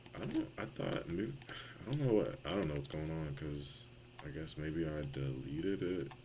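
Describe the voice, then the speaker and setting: Audible room echo surrounds a man with a very deep, low voice, a dark, mellow tone and vocal fry. He talks at a moderate pace with ordinary pitch variation. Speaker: game developer streamer. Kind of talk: live coding stream.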